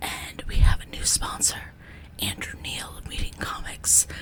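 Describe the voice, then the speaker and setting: A whisper against noticeable background noise. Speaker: zine channel host. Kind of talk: casual vlog with ASMR whispering. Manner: whispering.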